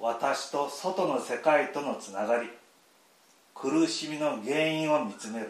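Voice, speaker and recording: A man's fairly high voice, with ordinary pitch variation and a fairly slow pace, big swings in loudness, audible room echo and noticeable background noise. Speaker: Buddhist temple priest. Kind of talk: prepared welcome speech. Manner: formal.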